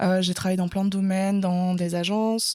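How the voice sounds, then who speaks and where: A woman's medium-pitched, monotone voice with flat intonation at a fairly slow pace. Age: 20s. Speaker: entrepreneur, marketing specialist. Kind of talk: interview podcast.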